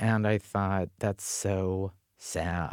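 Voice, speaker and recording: Speaking with an American accent, a man talks at a very slow pace. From North Dakota, US. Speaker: author and activist. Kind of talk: conference panel talk. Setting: stage with audience.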